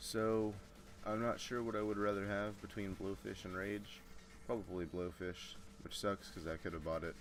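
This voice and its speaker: Music plays in the background as a man speaks at a moderate pace. His fairly low voice keeps a fairly even intonation. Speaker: gaming commentator. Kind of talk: let's play commentary. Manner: casual, with frequent fillers and restarts.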